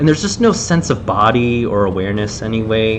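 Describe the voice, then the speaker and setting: A man with a medium pitch speaks at a moderate pace with lively intonation. Noticeable background noise and audible room echo fill the recording. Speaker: game developer streaming level design commentary. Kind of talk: live gameplay commentary. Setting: live stream. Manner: loud; casual, many fillers.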